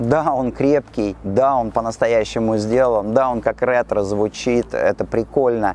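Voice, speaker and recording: An ordinary speaking voice from a man at medium pitch, fairly slow yet with hardly any pauses, its intonation fairly even. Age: 50s. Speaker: perfume store host. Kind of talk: casual monologue on camera. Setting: outdoors on a city street.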